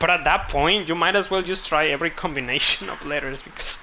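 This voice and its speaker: There is noticeable background noise as a man talks. He has a non-native accent and keeps a moderate pace. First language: not English. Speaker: game streamer. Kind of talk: live gameplay stream commentary. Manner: casual, hesitant with repetitions.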